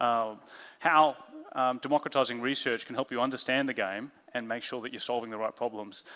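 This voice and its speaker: Very fast male speech in an Australian accent, medium-pitched with a bright, sharp tone. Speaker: head of design, conference speaker. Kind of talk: conference talk. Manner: halting, many fillers.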